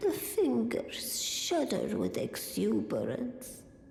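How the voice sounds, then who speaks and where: At a very slow pace, a put-on character voice comes through with slight echo and clear background noise. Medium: video game.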